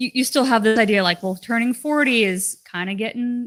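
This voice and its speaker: On a very clean recording with a silent background, a woman with an ordinary speaking voice talks at a fairly quick pace, her fairly high pitch showing ordinary variation. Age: 30s. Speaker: carnivore diet YouTuber. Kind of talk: casual chat. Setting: livestream.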